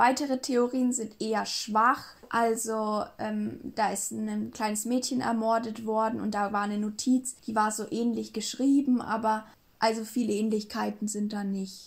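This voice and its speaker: On a very clean recording with a silent background, a woman speaks at a fairly slow pace in a fairly high, somewhat breathy voice with monotone, flat intonation. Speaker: true crime podcast co-host. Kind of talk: casual storytelling chat.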